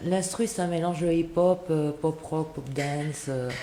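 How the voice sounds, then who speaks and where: A woman speaks fairly slowly in a southern French accent with ordinary pitch variation. Noticeable background noise and audible room echo fill the recording. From France. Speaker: singer and actress. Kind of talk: radio interview.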